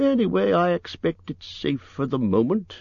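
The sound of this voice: A man puts on a character voice, high-pitched with vocal fry and big pitch swings at a moderate pace. His tone is slightly mellow, and the sound is dry and close with no echo.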